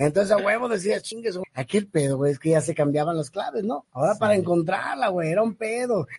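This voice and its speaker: Speaking at a very fast pace with hardly any pauses, a man with a Mexican accent uses a high pitch and lively intonation. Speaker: podcast co-host. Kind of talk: casual chat. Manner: animated, laughing often.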